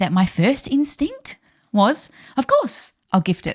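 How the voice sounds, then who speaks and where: Very wide pitch swings mark this woman's somewhat breathy speech, delivered at a fairly slow pace in an Australian accent. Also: dry, close sound with no echo. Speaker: podcast host, business coach. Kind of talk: solo podcast talk. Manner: upbeat, chatty.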